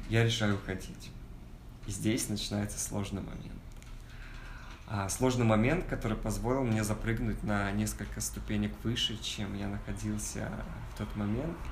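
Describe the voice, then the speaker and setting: Audible room echo surrounds a man who leaves long, frequent pauses. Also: moderate pace. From Kazakhstan. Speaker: advertising agency founder and actor. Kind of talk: casual talk to an audience.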